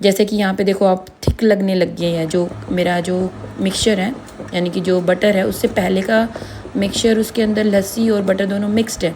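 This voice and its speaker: A woman talks at a medium pitch and moderate pace in a monotone, flat delivery over noticeable background noise. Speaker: home cook. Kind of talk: recipe voice-over. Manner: casual, explanatory.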